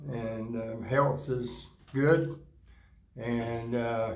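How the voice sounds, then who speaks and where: In a Florida accent, a man speaks at a medium pitch with flat, monotone intonation and audible room echo. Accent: US Southern (Florida). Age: 80s+. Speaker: rancher. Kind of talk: casual interview. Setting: grazing school event.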